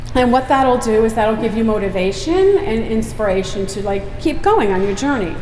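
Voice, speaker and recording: A woman with a fairly high pitch and ordinary pitch variation talks at a moderate pace with hardly any pauses, over noticeable background noise and audible room echo. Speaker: homesteading vlogger giving a talk. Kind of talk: public talk. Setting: stage at an expo with audience. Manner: loud; casual, chatty.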